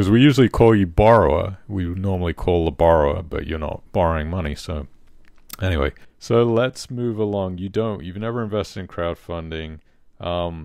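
With a British accent, a man at a very deep, low pitch speaks at a moderate pace with ordinary pitch variation, in a very clean recording with a silent background. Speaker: podcast host. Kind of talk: interview.

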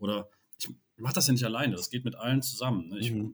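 Here a man uses a plain, everyday voice at medium pitch. He keeps a fairly quick pace. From Rhineland, Cologne area. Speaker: LARP event organiser, club chairman. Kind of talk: casual chat.

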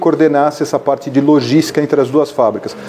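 A man talks with a fairly high pitch. Noticeable background noise can be heard behind him. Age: 60s. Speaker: business executive and entrepreneur. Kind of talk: interview.

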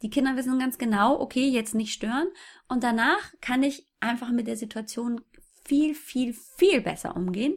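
Speech at a moderate pace with ordinary pitch variation comes through in a very clean recording with a silent background. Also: woman, high pitch for a woman. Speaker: fitness blogger and mother. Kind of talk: interview.

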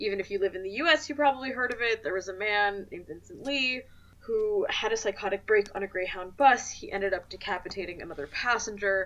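A woman at a medium pitch speaks very fast with hardly any pauses, lively intonation and big swings in loudness. Noticeable background noise runs underneath. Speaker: podcast host. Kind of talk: casual podcast chat.

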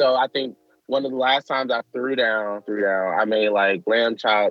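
An unremarkable speaking voice from a man with an American accent, medium pitch, moderate pace, and fairly even intonation. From Michigan. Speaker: activist. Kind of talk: interview. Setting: outdoors in a park.

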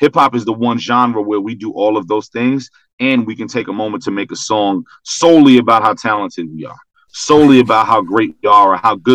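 A man with an American accent speaks at a fairly quick pace, his fairly low pitch showing ordinary variation. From Brooklyn, New York. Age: 30s. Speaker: rapper. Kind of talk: casual chat.

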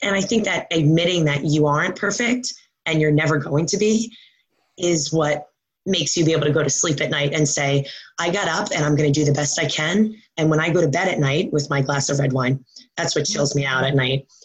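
A woman talks with a very deep, low pitch and ordinary pitch variation, her voice somewhat breathy and her loudness very even. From New York. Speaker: fitness coach. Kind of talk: interview.

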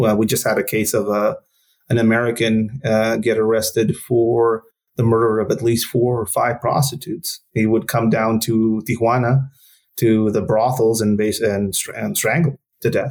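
A man talks in a Spanish accent at a moderate pace and medium pitch. His intonation stays fairly even and his loudness very even. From northern Mexico border region. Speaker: former counter-narcotics police officer. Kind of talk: interview. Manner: halting, many fillers.

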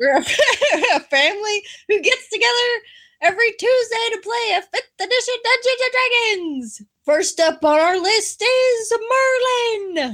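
A put-on character voice at a fairly slow pace. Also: woman, extremely high pitch for a woman. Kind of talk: announcer-style delivery. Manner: upbeat, enthusiastic.

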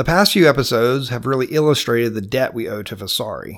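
Over a very clean recording with a silent background, a man talks in a Georgia accent. His pitch is medium with ordinary variation, at a moderate pace. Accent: Southern US, Georgia. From US South, Georgia. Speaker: podcast host and painter. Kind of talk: scripted podcast narration, educational. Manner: informal, conversational.

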